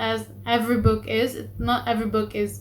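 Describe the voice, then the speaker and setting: A woman speaks with a Lebanese accent. Her pace is moderate, and there is audible room echo. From Lebanon. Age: 20s. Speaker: book vlogger. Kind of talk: casual vlog talk. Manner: hesitant, many fillers.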